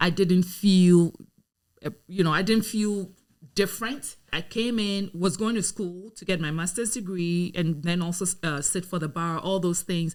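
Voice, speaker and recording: A woman with a Ghanaian accent speaks fairly slowly at a medium pitch with ordinary pitch variation. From Ghana (Accra). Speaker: lawyer and community advocate. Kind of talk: podcast interview.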